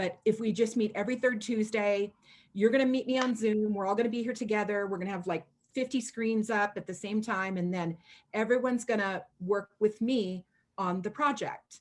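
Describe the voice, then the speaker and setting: Here a woman speaks with an American accent in a fairly high pitch. Her pace is moderate. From US Pacific Northwest (Washington state). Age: 50s. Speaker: chalk art mentor and retired school principal. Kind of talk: casual video chat. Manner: animated.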